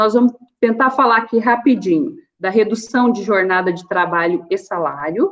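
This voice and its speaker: A woman with a plain, everyday voice speaks at a moderate pace. Her pitch is fairly high and her intonation lively. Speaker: labor lawyer and business owner. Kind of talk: online seminar talk. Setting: online video meetup.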